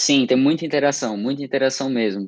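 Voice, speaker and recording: A man talks at a fairly quick pace in a medium pitch, with a normal speaking voice. Behind him the background is quiet. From Brazil, Santa Catarina (Criciúma). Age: 18. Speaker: student, summer program participant. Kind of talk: interview.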